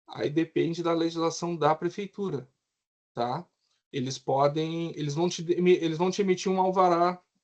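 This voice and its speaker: A man with a high voice speaks at a moderate pace. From southern Brazil, Rio Grande do Sul. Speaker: civil engineer. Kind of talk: lecture.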